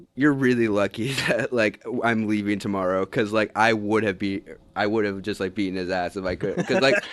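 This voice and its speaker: A man with an American accent, fairly low pitch, fairly quick pace and fairly even intonation, amid noticeable background noise. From Oklahoma, Tulsa. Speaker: army national guard soldier. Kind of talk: interview.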